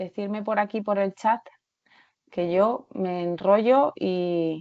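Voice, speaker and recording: A woman talks very slowly, her medium pitch varying in an ordinary way. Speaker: researcher and occupational therapist. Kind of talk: webinar presentation. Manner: halting.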